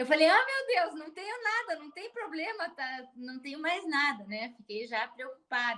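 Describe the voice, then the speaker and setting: Her voice raised and projected, a woman speaks at a moderate pace and high pitch, with very wide pitch swings and big swings in loudness. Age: 60s. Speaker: retired dentist with Parkinson's. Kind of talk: interview testimony. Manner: halting, many repetitions and fillers.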